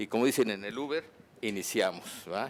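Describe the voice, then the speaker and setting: A man speaks at a fairly quick pace in a plain, everyday voice. His pitch is medium, with ordinary pitch variation. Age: 60s. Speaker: physician giving a conference talk. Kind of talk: medical lecture.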